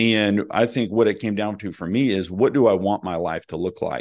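A man with an American accent speaks at a moderate pace, fairly low in pitch with ordinary pitch variation. It is a plain, everyday voice, set against a quiet background. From Oklahoma, small town. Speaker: real estate investor and coach. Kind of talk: interview.

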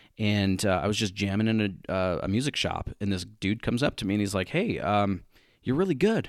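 An unremarkable speaking voice from a man, fairly low in pitch, with ordinary pitch variation and a fairly quick pace, on a very clean recording with a silent background. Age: 30s. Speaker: online business coach. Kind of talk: interview.

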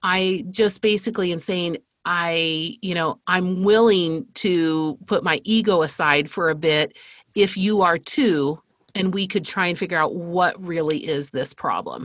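A woman's fairly low-pitched, unremarkable speaking voice at a fairly slow pace, with ordinary pitch variation. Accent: American. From Spain (American missionary family). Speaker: marketing agency CEO. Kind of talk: interview conversation.

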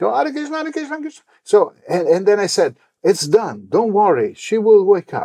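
Speaking with an Italian accent, a man with a high, dark and mellow voice makes very wide pitch swings and big swings in loudness. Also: moderate pace. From Italy, Rome. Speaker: religious leader. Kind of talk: interview. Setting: temple.

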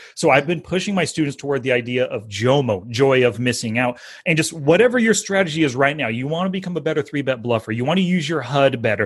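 A man talks very fast in a fairly high, somewhat breathy voice with an animated tone. His intonation is lively, and the background is quiet. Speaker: poker coach and podcast host. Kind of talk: interview.

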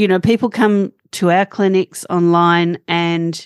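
A woman with an Australian accent speaks at a fairly low pitch. The sound is dry and close with no echo, over a quiet background. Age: 50s. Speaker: holistic health practitioner. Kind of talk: interview. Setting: remote call.

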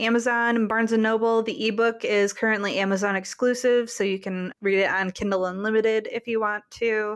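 The speaker is a woman with a fairly high pitch. She has an unremarkable speaking voice. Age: 20s. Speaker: novelist. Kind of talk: interview.

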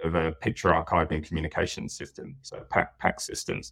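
A man talks very fast in a British accent. The recording is very clean, with a silent background. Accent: British, with a noticeable. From UK. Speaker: network technical account manager. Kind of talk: casual interview. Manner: hesitant, repeats words.

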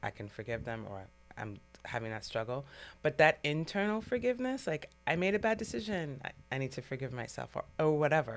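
With music playing behind her, a woman with a very deep, low pitch speaks in very wide pitch swings and big swings in loudness. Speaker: podcast host. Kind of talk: casual interview.

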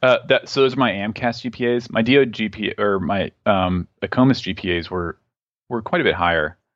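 A man's normal speaking voice, medium-pitched with an American accent, at a fairly quick pace with lively intonation, dry and close with no echo over a quiet background. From Southeast Texas. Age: 30s. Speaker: medical student, army veteran. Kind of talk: interview.

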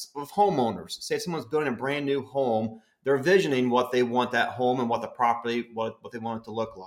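A man speaks at a medium pitch with an American accent and ordinary pitch variation. He has an unremarkable speaking voice. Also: big swings in loudness. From West Virginia. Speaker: county extension agent. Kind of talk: educational interview. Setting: studio, sharing a mic with host.

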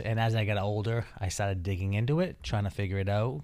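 A man with an American accent and a normal speaking voice, fairly low in pitch with ordinary pitch variation, at a fairly quick pace. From Taunton, Massachusetts. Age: 30s. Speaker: plumbing business owner and house flipper. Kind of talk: casual interview chat.

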